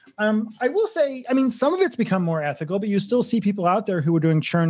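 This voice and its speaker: With an American accent, a man talks at a fairly quick pace with lively intonation in an ordinary speaking voice. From Massachusetts, Grafton. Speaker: copywriter and marketing entrepreneur. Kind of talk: casual interview.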